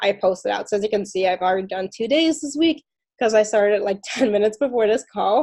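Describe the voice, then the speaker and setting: A woman's fairly high, dark and mellow voice at a fairly quick pace, with ordinary pitch variation. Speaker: social media coach. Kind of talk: tutorial. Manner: fast.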